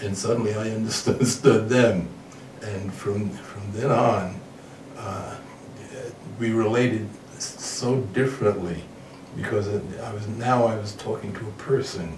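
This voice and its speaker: A man with an American accent talks at a fairly slow pace and fairly low pitch, with fairly even intonation. His loudness swings widely, pauses are long and frequent, and background noise is noticeable. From New York. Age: 70s. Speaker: bodybuilder. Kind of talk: interview answer.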